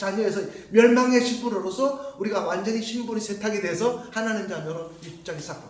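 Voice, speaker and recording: Over noticeable background noise and audible room echo, a man speaks in an animated tone at a moderate pace. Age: 50s. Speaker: pastor. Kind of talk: sermon.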